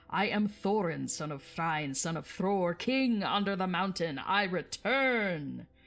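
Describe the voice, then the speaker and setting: A loud, female-sounding put-on character voice speaks at a fairly slow pace with a middle pitch. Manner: proud, commanding.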